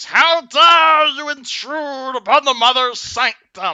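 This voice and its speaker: A female-sounding voice in a put-on character voice, high-pitched and shrill, moves at a fairly slow pace. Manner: shrieking.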